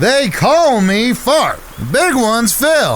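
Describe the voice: In a put-on character voice with a fairly bright tone, the speaker swings very widely in pitch at a slow pace over faint background noise. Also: man, extremely high pitch for a man.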